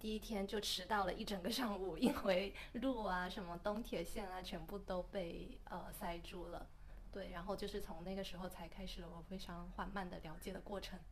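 A woman with fairly even intonation and a plain, everyday voice. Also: medium pitch for a woman, moderate pace. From mainland China. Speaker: podcast co-host. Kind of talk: casual chat.

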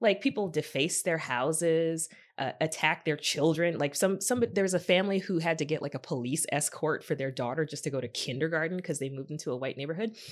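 In a very clean recording with a silent background, a woman with a very deep, low pitch and an animated tone races along at a very fast pace, with ordinary pitch variation and hardly any pauses. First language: not English. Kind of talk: casual chat.

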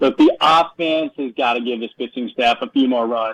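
Using an unremarkable speaking voice, a man talks at a medium pitch and a moderate speed. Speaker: caller. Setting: phone call.

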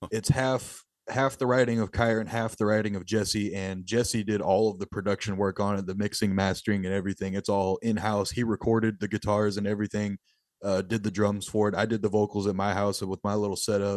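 Over a quiet background, a man with a Texan accent and a fairly low pitch speaks at a fairly quick pace in monotone, flat intonation. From rural Texas. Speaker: death metal musician. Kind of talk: interview.

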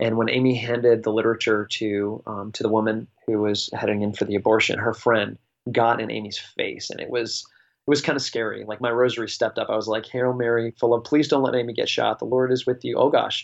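With hardly any pauses, a man talks at a fairly quick pace in a monotone, flat voice of medium pitch. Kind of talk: casual chat. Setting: phone call.

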